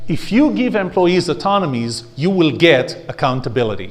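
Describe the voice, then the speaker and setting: In a room with audible echo, a man talks with an Israeli accent. His intonation is lively. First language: Hebrew. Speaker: speaker and trainer. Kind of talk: workshop lecture.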